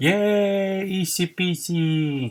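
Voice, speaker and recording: A man's voice with a slight non-native accent. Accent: non-native English speaker, slight. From Mexico. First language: Spanish. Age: 40s. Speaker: mover and DIY mechanic. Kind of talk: tutorial. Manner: casual, halting.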